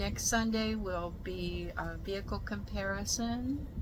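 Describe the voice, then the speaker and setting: A woman talks at a very slow pace in an American accent. Room echo is audible. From Texas. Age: 70s. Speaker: van life vlogger. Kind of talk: casual chat. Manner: halting.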